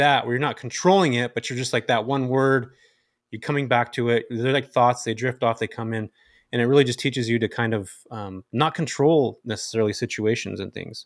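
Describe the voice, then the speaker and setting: On a very clean recording with a silent background, a man speaks at a fairly quick pace with a medium pitch. He has an unremarkable speaking voice with ordinary pitch variation. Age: 40s. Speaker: podcast co-host. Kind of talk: casual chat.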